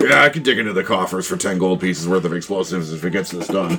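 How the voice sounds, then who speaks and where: A man's raspy, put-on character voice, very deep and low in pitch with ordinary pitch variation, at a very fast pace over faint music in the background. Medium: actual play. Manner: pragmatic.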